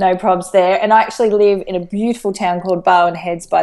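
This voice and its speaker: A woman with an Australian accent at medium pitch, fairly quick, against a quiet background. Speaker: life coach. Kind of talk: interview. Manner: animated.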